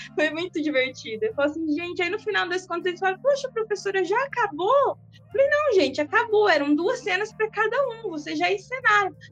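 Talking at a fairly quick pace with hardly any pauses, a woman with an extremely high pitch makes very wide pitch swings and big swings in loudness. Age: 30s. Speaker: sociology teacher. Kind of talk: casual interview.

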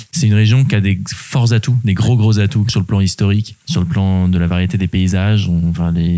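A man speaks with a very deep, low pitch and a dark, mellow tone at a moderate pace. His loudness is very even, his pitch varies in an ordinary way, and he hardly pauses. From Normandy, France (Rouen). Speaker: adventurer and public speaker. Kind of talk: interview conversation. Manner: hesitant, frequent fillers and repetitions.

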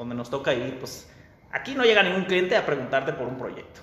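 Fairly quick speech from a man, with audible room echo and noticeable background noise around it. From Mexico. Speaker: architect. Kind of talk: interview. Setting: video call.

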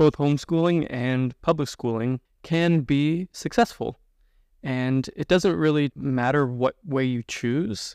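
Dry and close with no echo over a quiet background, an unremarkable speaking voice moves at a fairly slow pace with ordinary pitch variation. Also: man, fairly high pitch for a man. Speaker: army officer, homeschooled adult. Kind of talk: casual chat.

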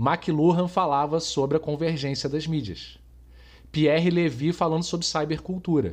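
This man has a plain, everyday voice pitched fairly high. His intonation stays fairly even, and the background is quiet. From Brazil, Rio de Janeiro. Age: 40s. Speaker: podcast host, marketing professional. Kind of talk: casual chat.

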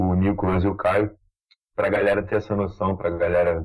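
At a fairly quick pace, a man speaks in a relaxed tone with a fairly low pitch. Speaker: podcast host. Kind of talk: casual chat.

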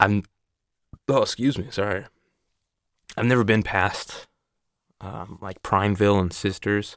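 Speaking at a fairly slow pace with an American accent, a man keeps his intonation fairly even and leaves long, frequent pauses. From Oregon, US Pacific Northwest. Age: 20s. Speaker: podcast host. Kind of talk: casual monologue. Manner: hesitant, filler-heavy.

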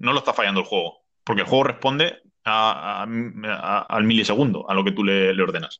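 The pace is fairly quick. Loudness holds very even. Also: man. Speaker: video game podcast host. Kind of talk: casual chat.

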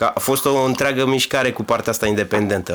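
At a medium pitch, a man talks at a very fast pace. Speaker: podcast host and DJ. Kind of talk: interview. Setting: studio.

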